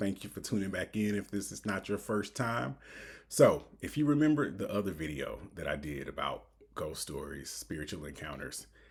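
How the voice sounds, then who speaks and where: A man with a fairly low pitch and a somewhat breathy quality talks at a moderate pace, his pitch swinging very widely, on a very clean recording with a silent background. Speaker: reaction video host. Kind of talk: casual talk to camera.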